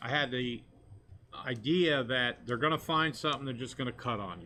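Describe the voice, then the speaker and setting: This man has an ordinary speaking voice at a medium pitch with ordinary pitch variation. He talks at a moderate pace with big swings in loudness. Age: 60s. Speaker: fishing captain, skin cancer survivor. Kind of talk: testimony.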